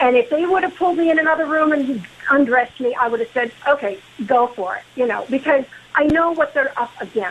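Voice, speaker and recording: Intonation is lively and the pace fairly quick. Noticeable background noise runs underneath. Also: woman, high pitch for a woman. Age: 70s. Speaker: caller, former security worker. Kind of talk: radio call-in. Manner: halting, repeats words.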